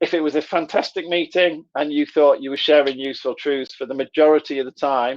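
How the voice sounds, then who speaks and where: A man with a Middlesbrough accent speaks at a fairly high pitch with fairly even intonation. The sound is dry and close, with no echo and a quiet background. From northern England, Middlesbrough. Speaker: trainer. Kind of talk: live online workshop. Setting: live video session. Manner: conversational.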